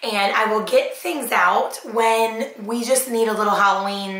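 In a space with audible room echo, a woman talks at a fairly slow pace. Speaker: haul vlogger. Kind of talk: casual vlog chat. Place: kitchen.

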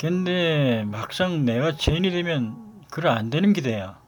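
Music plays in the background. A man speaks at a fairly high pitch with lively intonation. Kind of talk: dialect monologue.

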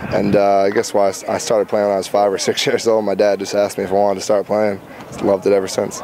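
Over noticeable background noise, a man with a fairly low pitch talks at a very fast pace in a monotone, flat intonation. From Rhode Island, Warwick. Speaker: college football quarterback. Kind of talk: interview. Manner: hesitant, many fillers.

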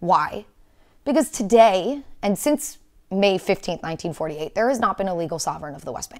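Against a quiet background, a woman with a medium pitch speaks at a moderate pace in an animated tone, with very wide pitch swings and big swings in loudness. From Israel. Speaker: historian and advocacy speaker; speaker. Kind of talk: interview discussion. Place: studio.

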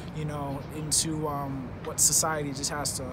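A man speaks at a moderate speed against loud background noise. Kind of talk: interview answer. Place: stadium. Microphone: phone near.

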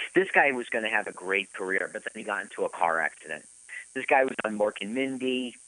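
Using a bright, sharp tone with vocal fry, a man speaks at a medium pitch and a fairly quick pace in a dry, close sound with no echo. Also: lively intonation. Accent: American. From US East Coast. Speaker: podcast co-host. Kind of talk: casual chat. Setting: live radio broadcast.

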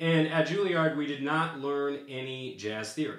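A man's voice with audible room echo. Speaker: music teacher. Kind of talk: tutorial. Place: home room.

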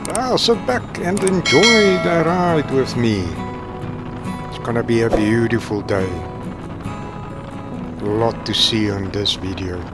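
Loud music plays in the background as a man talks at a very slow pace with long, frequent pauses, the sound dry with no echo. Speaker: motorbike travel vlogger. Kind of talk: casual vlog chat. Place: motorbike.

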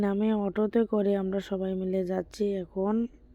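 A woman speaks at a medium pitch in a dark, mellow tone with monotone, flat intonation. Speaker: vlogger. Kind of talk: casual travel vlog narration. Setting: outdoors, travelling by van, train and auto-rickshaw.

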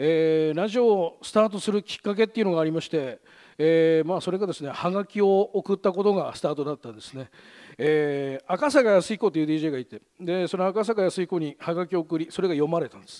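A man's high-pitched, dark and mellow voice at a fairly quick pace, with ordinary pitch variation, big swings in loudness, and a quiet background. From Gunma, Japan; Japan. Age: 40s. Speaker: radio host. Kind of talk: presentation talk; public talk. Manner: fast. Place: stage. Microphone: headset.

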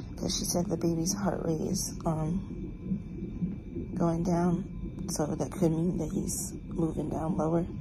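Over loud background noise, a woman talks quietly at a moderate pace. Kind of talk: casual vlog chat. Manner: quiet, weary talk from hospital bed. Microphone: phone near.

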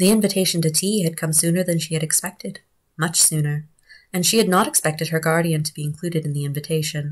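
Somewhat breathy and fairly low in pitch, a woman talks at a very fast pace. Her intonation is fairly even, and the background is quiet. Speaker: audiobook narrator. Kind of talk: audiobook reading of a novella. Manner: even, measured narration with shifts into character dialogue. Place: home room. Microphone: phone near.

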